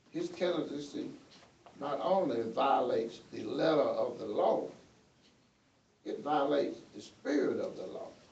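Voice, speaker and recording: A man with an American accent pauses often and at length, his loudness swinging widely. Room echo is audible. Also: fairly slow pace. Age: 60s. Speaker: retired police officer. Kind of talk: testimony at a public hearing. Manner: halting.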